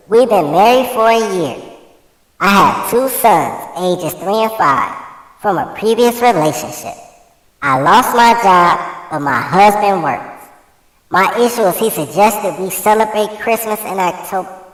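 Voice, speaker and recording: This is a put-on character voice with a fairly high pitch. It moves at a moderate pace with a slight echo. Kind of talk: put-on voice for reading.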